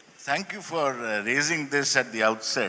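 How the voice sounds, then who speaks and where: A man's bright, sharp tone at a fairly slow pace with ordinary pitch variation. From India. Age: 60s. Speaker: professor of political science. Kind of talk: panel conversation at literature festival.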